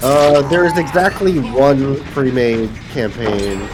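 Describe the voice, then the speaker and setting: Amid audible room echo and music in the background, a man speaks at medium pitch with lively intonation. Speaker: streamer. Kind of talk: casual chat. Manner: soft-spoken.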